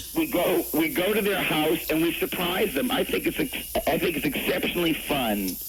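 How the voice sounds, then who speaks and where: With noticeable background noise behind him, a man talks at a moderate pace with hardly any pauses. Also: very even loudness. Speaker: radio show guest. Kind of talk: interview answer.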